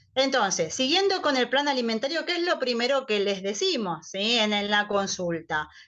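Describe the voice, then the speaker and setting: A woman speaks with very wide pitch swings. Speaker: nutritionist. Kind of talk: online talk to patients.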